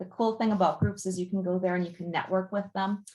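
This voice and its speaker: Her voice carries a somewhat breathy quality. The one talking is a woman. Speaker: marketing and PR consultant, guest speaker. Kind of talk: presentation on digital marketing. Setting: video call. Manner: animated.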